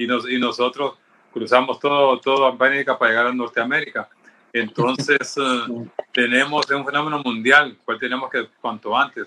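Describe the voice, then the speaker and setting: The man's pitch is medium. He has an unremarkable speaking voice. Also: moderate pace. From Honduras. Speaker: pediatrician. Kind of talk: panel discussion.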